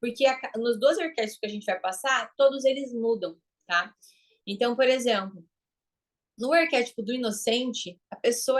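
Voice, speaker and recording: Against a quiet background, a woman speaks in a fairly high pitch with an animated tone. Her pace is moderate and her pitch varies in an ordinary way. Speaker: branding and marketing mentor. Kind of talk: online class lecture.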